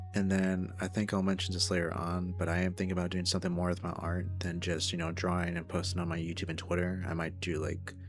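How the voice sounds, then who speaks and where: A man's very deep, low voice racing at a very fast pace in a flat monotone, hardly any pauses, with audible room echo and music in the background. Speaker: vlogger, furry artist. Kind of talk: casual vlog.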